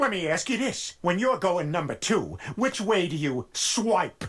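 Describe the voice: A cartoonish character voice from a man, high-pitched with lively intonation at a moderate pace.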